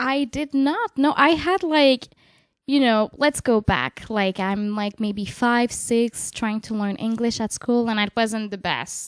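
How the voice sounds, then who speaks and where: A woman with a Quebec accent speaks at a very slow pace in a fairly high pitch, with ordinary pitch variation and a dry, close sound with no echo. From Quebec City, Canada. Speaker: jazz vocalist and bandleader. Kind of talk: casual interview conversation. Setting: in person, a home in Nanaimo. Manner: casual, hesitant, many fillers.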